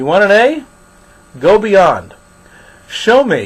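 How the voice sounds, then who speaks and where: Lively intonation marks this moderately paced speech in an American accent. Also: man. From New York. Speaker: college instructor. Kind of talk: recorded lecture.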